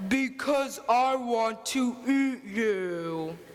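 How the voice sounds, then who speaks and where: Over light background noise, a female-sounding voice performs a put-on character voice at a high pitch. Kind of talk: school stage musical. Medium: stage play. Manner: sly, theatrical.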